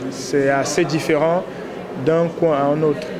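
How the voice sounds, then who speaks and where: Over noticeable background noise and audible room echo, a man with a Cameroonian accent speaks at a fairly high pitch with fairly even intonation. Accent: African (Cameroonian) French. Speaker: comedian. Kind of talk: interview. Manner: hesitant, many fillers.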